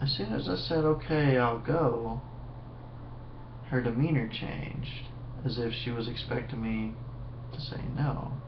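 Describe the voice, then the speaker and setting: Noticeable background noise runs under a man who speaks with ordinary pitch variation and long, frequent pauses. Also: medium pitch for a man, fairly slow pace. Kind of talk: casual storytelling to webcam. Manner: sleepy.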